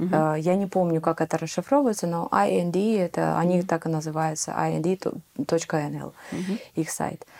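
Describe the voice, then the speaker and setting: Her pace fairly slow, a woman speaks with a dark, mellow tone, fairly low pitch and ordinary pitch variation. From Ukraine. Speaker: immigrant sharing experience. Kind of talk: interview.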